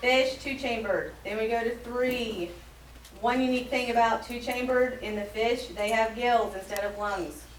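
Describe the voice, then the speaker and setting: A woman with an American accent speaks at a fairly high pitch and a moderate pace, her intonation fairly even. The recording has audible room echo and noticeable background noise. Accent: slight Southern accent, sometimes creeps out. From US South. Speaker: science teacher. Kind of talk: classroom lesson. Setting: classroom with students.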